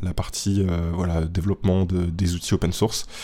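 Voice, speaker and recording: Very deep and low in pitch, a man's dark, mellow tone comes through a very clean recording with a silent background. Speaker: podcast host. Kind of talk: casual explainer monologue. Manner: hesitant with many fillers.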